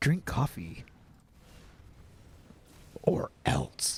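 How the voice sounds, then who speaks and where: A man whispers. He is doing a put-on character voice. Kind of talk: radio voice. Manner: menacing.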